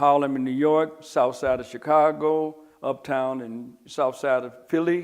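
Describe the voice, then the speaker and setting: A man with a plain, everyday voice speaks at a fairly slow pace, his pitch fairly high. His intonation stays fairly even while his loudness swings widely. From Detroit, Michigan. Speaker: former crime figure interviewee. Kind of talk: interview recollection.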